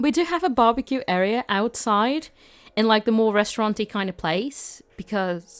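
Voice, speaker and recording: A woman with a British accent talks at a moderate pace and fairly high pitch, her intonation lively, in a dry, close sound with no echo. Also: very clean recording, silent background. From Britain. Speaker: gaming YouTuber. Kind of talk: casual voiceover commentary. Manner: chatty, filler-heavy.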